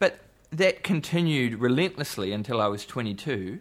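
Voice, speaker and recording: A man with a New Zealand accent, lively intonation and moderate pace, on a very clean recording with a silent background. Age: 40s. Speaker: musician. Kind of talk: casual chat.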